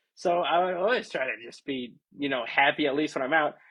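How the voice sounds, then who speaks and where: A man speaks loudly. His pace is moderate. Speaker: streamer. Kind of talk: casual livestream chat.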